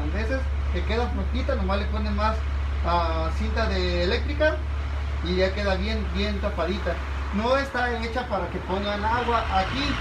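Noticeable background noise is present. A man talks through it. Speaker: shop worker demonstrating product. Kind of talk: product demonstration tutorial. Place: shop. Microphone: phone near.

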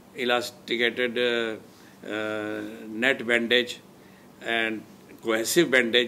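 With light noise in the background, a man speaks in a bright, sharp tone. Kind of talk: interview answer. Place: home room. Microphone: lapel.

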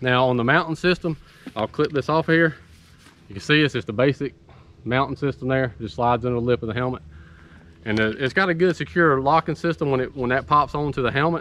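A man talks at a fairly quick pace in a medium pitch, and his pitch varies in an ordinary way. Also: fairly bright tone.

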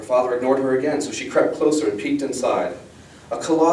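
What's heard here is plain reading aloud.

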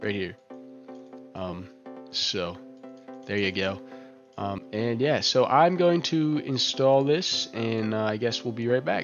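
Lively intonation at a very slow pace, with long, frequent pauses and music in the background. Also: man, medium pitch for a man. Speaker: tech tutorial YouTuber. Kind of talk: screen-recording tutorial talk. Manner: casual, hesitant.

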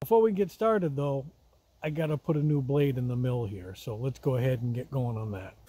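A somewhat breathy, dark, mellow tone at a fairly quick pace, in a dry sound with no echo. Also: man. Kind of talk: casual vlog chat. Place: forest. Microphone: phone near.

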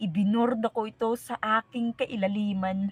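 A woman speaks at a fairly slow pace in a dark, mellow tone that is somewhat breathy, with fairly even intonation and a dry, close sound with no echo. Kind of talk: spoken word poetry. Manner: solemn, reflective; slow, measured, dramatic.

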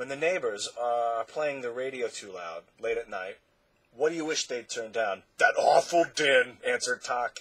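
The clip is simply someone reading aloud in a plain way.

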